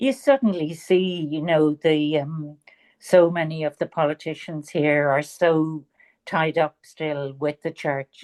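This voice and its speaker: A woman with a very deep, low pitch and ordinary pitch variation speaks at a very slow pace, in a dry, close sound with no echo and a quiet background. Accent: Dublin. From Ireland, Dublin. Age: 70s. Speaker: author. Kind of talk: interview.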